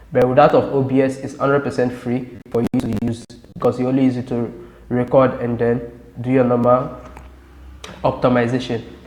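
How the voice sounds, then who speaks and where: There is noticeable background noise behind this man. He talks in a flat monotone at a medium pitch. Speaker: tech tutorial YouTuber. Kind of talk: tutorial. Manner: fast.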